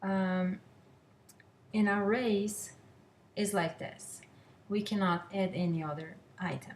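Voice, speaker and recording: With a non-native accent, a woman talks at a very slow pace. Her pitch is medium and her intonation fairly even. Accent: foreign. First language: not English. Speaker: student. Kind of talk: class presentation. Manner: halting, many fillers.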